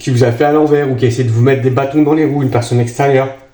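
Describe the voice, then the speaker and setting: Noticeable background noise and audible room echo surround the recording. A man speaks at a medium pitch. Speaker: tarot card reader. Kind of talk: tarot reading for viewers. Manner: hesitant, many fillers.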